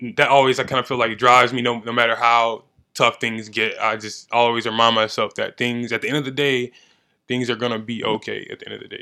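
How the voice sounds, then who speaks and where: A man's bright, sharp voice at a very fast pace, in monotone, flat intonation, on a very clean recording with a silent background. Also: medium pitch for a man. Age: 20s. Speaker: amateur fighter, gym athlete. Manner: calm, chill, confident.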